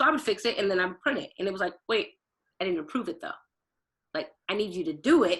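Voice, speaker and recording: A woman speaks at a very fast pace with an American accent, her medium pitch making very wide swings. Long, frequent pauses break up her talk against a quiet background. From Portland, Oregon. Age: 30s. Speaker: event planner and recruiter. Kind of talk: podcast interview. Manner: fast talker.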